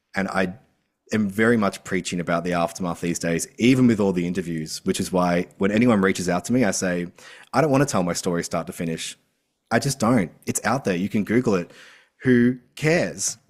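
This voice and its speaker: A fairly quick Australian accent with ordinary pitch variation, on a very clean recording over a silent background. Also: man, very deep, low pitch for a man. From Australia, rural. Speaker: author and mental health advocate. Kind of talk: podcast interview. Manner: animated.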